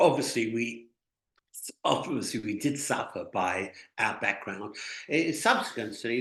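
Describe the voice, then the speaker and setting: Here a man talks with an English accent at a fairly slow pace. His pitch varies in an ordinary way. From England. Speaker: Holocaust survivor. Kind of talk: interview answer.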